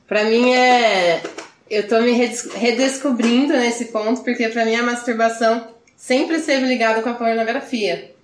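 Audible room echo around a woman's fairly high voice at a moderate pace. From Brazil, Campinas. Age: 20s. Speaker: podcast guest. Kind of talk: casual chat.

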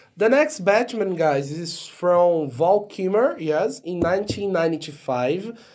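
A man's high-pitched voice with a Portuguese accent, very slow yet with hardly any pauses, lively intonation, and noticeable background noise. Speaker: podcast co-host. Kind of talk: casual chat.

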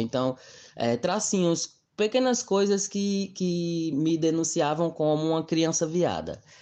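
A man with an ordinary speaking voice talks at a fairly slow pace, his pitch fairly high. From Brazil, Mossoró. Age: 20s. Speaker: interviewee sharing LGBTQIA+ experience. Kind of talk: personal testimony.

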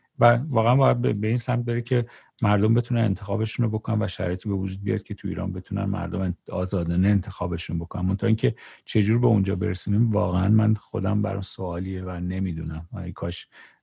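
A man's very deep, low, somewhat breathy voice with a dark, mellow tone, ordinary pitch variation and a very fast pace, in a dry, close sound with no echo and a quiet background. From Iran (Tehran). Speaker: podcast host. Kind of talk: casual interview chat.

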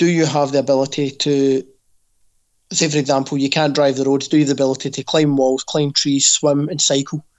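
With a Scottish accent, a man with a fairly high pitch talks at a fairly quick pace in a monotone, flat intonation. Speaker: fitness coach and podcast co-host. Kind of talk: casual chat. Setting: video call.

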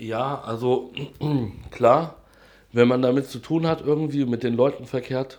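A man at a medium pitch talks fairly slowly with fairly even intonation. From Hesse, near Frankfurt am Main. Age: 30s. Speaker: interviewee on drug use. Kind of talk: casual interview.

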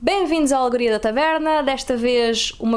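A woman at a moderate pace with a plain, everyday voice. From Algarve, Portugal (Olhão). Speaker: podcast host. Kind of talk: casual chat. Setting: home office, not a studio.

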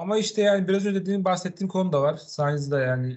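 A man speaks in a somewhat breathy voice. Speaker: motorsport podcast host. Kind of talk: casual chat.

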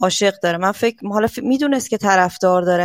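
In a dry, close recording with no echo, a woman talks at a very fast pace. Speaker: caller. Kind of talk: casual call-in.

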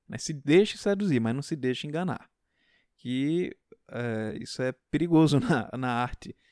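Lively intonation comes through at a fairly slow pace in a very clean recording with a silent background and a dry, close sound with no echo. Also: man, fairly high pitch for a man. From Pernambuco, Brazil. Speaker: podcast host, literature teacher. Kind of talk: casual solo talk on literature. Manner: hesitant, many fillers.

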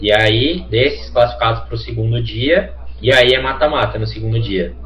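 A man's voice comes through with audible room echo, amid noticeable background noise. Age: 20s. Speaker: professional esports player. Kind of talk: casual chat.

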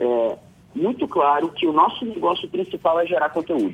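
The man's pitch swings very widely while his pace stays moderate. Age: 30s. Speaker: media company executive. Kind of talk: radio interview. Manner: hesitant, many fillers.

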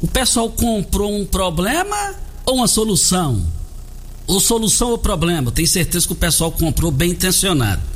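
Over noticeable background noise and audible room echo, a man talks at a moderate pace with lively intonation, very even loudness, and long, frequent pauses. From Rio Verde, Goiás, Brazil. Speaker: radio host. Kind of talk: morning radio talk show.

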